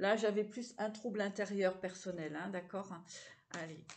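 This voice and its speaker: A woman talks fairly slowly, with pitch that varies in an ordinary way. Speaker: psychic tarot card reader. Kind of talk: tarot reading for viewers. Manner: hesitant, repeating words.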